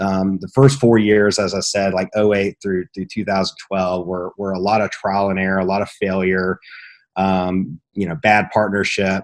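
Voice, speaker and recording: A man's fairly low voice, monotone and flat, at a moderate pace on a very clean recording with a silent background. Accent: American. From Southwest Virginia, rural mountains. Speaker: entrepreneur, lighting business owner. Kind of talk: interview, personal story. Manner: halting, many fillers and restarts.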